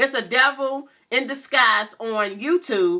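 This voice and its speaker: A woman is speaking. Her pitch varies an ordinary amount. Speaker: vlogger. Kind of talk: casual vlog chat. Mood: earnest, somewhat indignant. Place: home room. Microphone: webcam.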